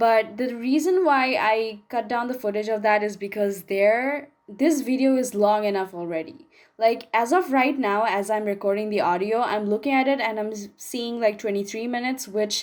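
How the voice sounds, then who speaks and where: A woman speaks at a moderate pace with hardly any pauses. Her pitch is fairly high and varies in an ordinary way. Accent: non-native. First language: not English. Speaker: gaming YouTuber. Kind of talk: voiceover commentary. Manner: casual, chatty.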